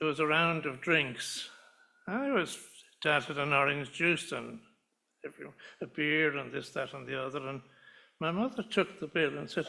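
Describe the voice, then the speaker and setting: This man's voice sits fairly high, with a bright, sharp tone and some vocal fry. He keeps a moderate pace and ordinary pitch variation, breaking often with long pauses. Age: 90s. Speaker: son of the person being honoured, retired doctor. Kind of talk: speech at a summer school event. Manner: halting, many hesitations and repeats.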